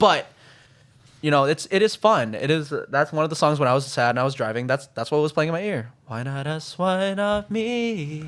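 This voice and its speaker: A man speaks in an American accent. His intonation is lively. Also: fairly high pitch for a man, moderate pace. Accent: slight country voice. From Minnesota, US. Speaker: guest, amateur singer. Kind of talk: casual chat.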